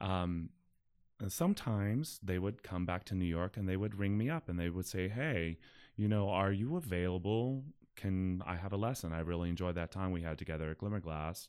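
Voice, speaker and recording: A man with an American accent talks at a fairly quick pace, his pitch very deep and low. His pitch variation is ordinary, on a very clean recording with a silent background. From US, Pittsburgh. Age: 50s. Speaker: opera singer. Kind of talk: casual interview.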